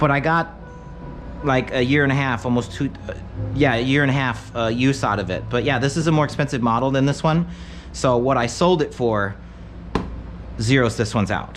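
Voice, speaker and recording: Against noticeable background noise, a man with an American accent talks with ordinary pitch variation and long, frequent pauses. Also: medium pitch for a man, fairly quick pace. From Michigan Upper Peninsula. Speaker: tech streamer. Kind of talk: live stream chat. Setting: live stream. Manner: casual, meandering.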